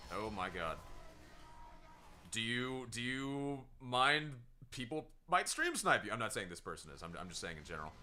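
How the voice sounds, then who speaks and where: A man's loud, medium-pitched voice at a moderate pace, with very wide pitch swings, long, frequent pauses and music in the background. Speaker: gaming streamer. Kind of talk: live gameplay stream commentary. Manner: animated.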